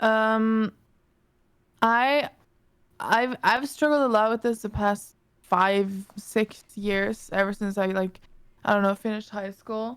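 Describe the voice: A woman speaks slowly at a medium pitch. Her tone is clear and smooth. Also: fairly even intonation.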